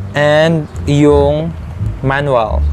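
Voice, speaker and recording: Clear background music accompanies a man as he talks. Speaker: vlogger. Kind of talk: casual unboxing vlog chat. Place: home room. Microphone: lapel.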